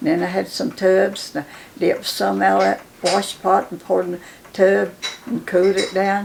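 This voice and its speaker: A woman with a southern Appalachian accent speaks at a moderate pace, her loudness swinging widely over noticeable background noise. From western North Carolina, Cherokee County. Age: 90s. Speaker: elder interviewee. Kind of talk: oral history interview. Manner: halting.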